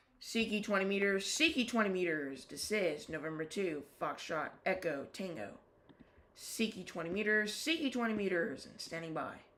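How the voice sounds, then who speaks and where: Audible room echo follows a woman at a medium pitch who talks at a moderate pace with very wide pitch swings. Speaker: ham radio operator livestreamer. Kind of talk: live stream with radio calls. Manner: casual, rambling with fillers. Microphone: built-in laptop microphone.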